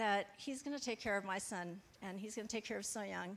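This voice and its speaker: Here a woman talks at a moderate pace. Her pitch variation is ordinary. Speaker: church member sharing testimony. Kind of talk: testimony.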